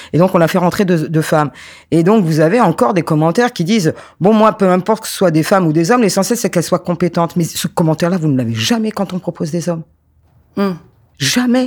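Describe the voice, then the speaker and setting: Very fast delivery with ordinary pitch variation, on a very clean recording with a silent background. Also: man, high pitch for a man. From France, Paris suburbs (Créteil). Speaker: sports sociologist and former handball player. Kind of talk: interview. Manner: halting, many repetitions and fillers.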